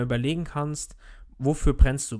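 Delivered at a moderate pace, the voice has a dark, mellow tone and fairly even intonation. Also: man. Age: 30s. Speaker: podcast host, network marketer. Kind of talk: solo motivational monologue. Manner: casual, filler-heavy.

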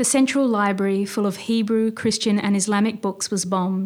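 A woman with an Australian accent, medium pitch and flat, monotone intonation, on a very clean recording with a silent background. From Australia, Sydney. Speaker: novelist and poet. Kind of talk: casual interview.

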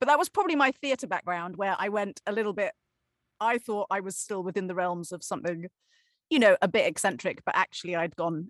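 Against a quiet background, a woman with an English accent talks at a fairly quick pace and medium pitch with lively intonation, the sound dry and close with no echo. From Cornwall, England. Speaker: actor. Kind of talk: interview. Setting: video call.

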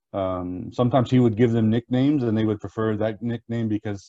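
Here a man speaks with an American accent at a fairly quick pace. His tone is dark and mellow, with fairly even intonation. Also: quiet background. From US Midwest, small-town Indiana. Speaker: imam. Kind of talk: interview.

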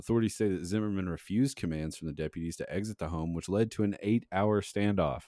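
Talking very fast with an American accent, the speaker has a dark, mellow tone and ordinary pitch variation on a very clean recording with a silent background. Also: man, fairly low pitch for a man. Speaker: podcast co-host. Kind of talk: casual chat. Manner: laughs often.

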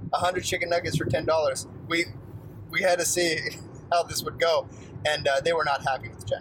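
Moderate pace from a man, with fairly even intonation, long and frequent pauses, and noticeable background noise. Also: fairly high pitch for a man. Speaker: podcast co-host. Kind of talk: casual chat.

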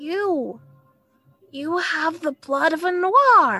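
Faint music plays behind a woman doing a put-on character voice at an extremely high pitch. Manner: weary, dull.

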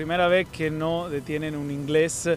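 A man with an Italian accent at a fairly slow pace, fairly high pitch and ordinary pitch variation, with music in the background. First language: Italian (speaking Spanish). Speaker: sports journalist. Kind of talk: casual discussion. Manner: halting.

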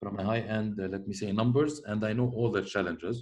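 Audible room echo surrounds the speaker. He is a man with a fairly low pitch. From Lebanon. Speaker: logistics company founder. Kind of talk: interview.

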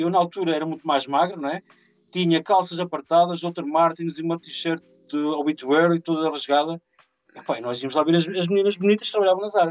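A man talks with a high pitch at a fairly quick pace. His intonation is fairly even. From Portugal, Mira (Aveiro district). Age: 40s. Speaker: event organizer. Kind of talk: casual interview.

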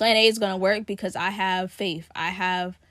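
A woman speaks in a normal speaking voice at a medium pitch and moderate pace. Her intonation is fairly even, in a very clean recording with a silent background. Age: 20s. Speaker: podcast host; college student about to graduate. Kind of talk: casual solo monologue. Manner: conversational with many fillers.

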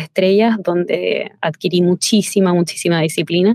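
A woman with a fairly low pitch and a dark, mellow tone speaks at a moderate pace with fairly even intonation, in a dry, close sound with no echo. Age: 20s. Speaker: chef. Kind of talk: interview.

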